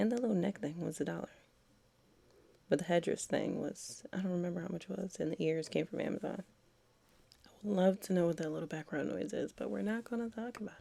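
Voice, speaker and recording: Whispering with vocal fry, a woman talks at a very fast pace broken by long, frequent pauses. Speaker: beauty vlogger. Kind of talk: casual voiceover tutorial. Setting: at home.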